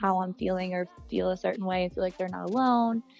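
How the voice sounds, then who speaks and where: A woman's medium-pitched voice in an American accent, very fast and fairly even in intonation, over music in the background. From Bucks County, Pennsylvania. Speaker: singer-songwriter. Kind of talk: interview answer.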